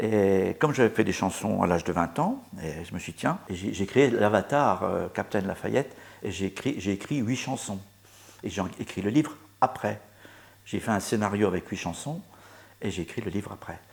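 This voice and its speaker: A man talks at a fairly low pitch with lively intonation. He keeps a moderate pace, with long, frequent pauses. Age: 60s. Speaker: author and musician. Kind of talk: interview. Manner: halting.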